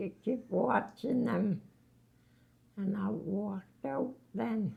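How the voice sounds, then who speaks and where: Noticeable background noise sits behind a woman speaking very slowly at a medium pitch. Her pitch swings very widely. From Labrador, Canada. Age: 80s+. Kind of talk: interview answer. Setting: long-term care home.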